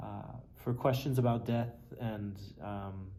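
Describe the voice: A man speaks slowly with fairly even intonation, a fairly low pitch and vocal fry. His tone is dark and mellow, and the room echo is audible.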